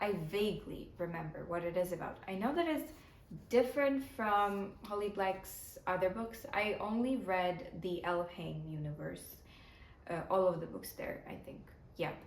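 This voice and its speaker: A woman's medium-pitched voice with a Ukrainian accent, lively intonation and a moderate pace, amid noticeable background noise and audible room echo. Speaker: book vlogger. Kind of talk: casual vlog talk to camera.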